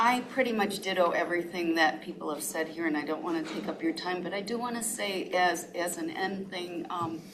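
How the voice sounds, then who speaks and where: With hardly any pauses, a woman speaks at a moderate pace and medium pitch, against noticeable background noise and audible room echo. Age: 70s. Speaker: public commenter, resident. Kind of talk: public comment.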